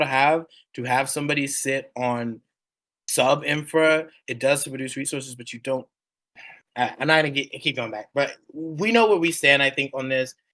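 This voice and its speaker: A man speaks loudly at a fairly high pitch, his tone bright and sharp, in a very clean recording with a silent background. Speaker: radio show host for a game community. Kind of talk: heated debate. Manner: animated.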